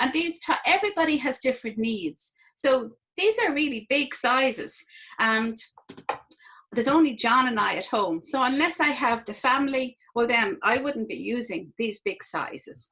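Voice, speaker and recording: A woman speaks in a raised, projected voice at a high pitch. Her tone is bright and sharp. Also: lively intonation, moderate pace. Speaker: product demonstrator. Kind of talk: product demonstration.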